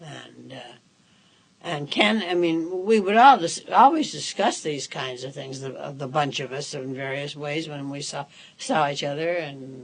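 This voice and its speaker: Over noticeable background noise, a woman with a very deep, low pitch talks at a fairly slow pace, with ordinary pitch variation and big swings in loudness. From Chicago, Illinois. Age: 80s+. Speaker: civil liberties activist. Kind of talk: oral history interview answer.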